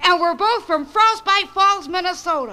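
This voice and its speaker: A cartoonish character voice with an extremely high pitch speaks at a moderate pace. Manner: earnest, eager.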